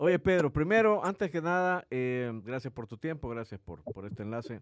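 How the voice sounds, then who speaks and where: The man moves at a moderate pace. His pitch swings very widely. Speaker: sports radio host. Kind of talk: casual chat.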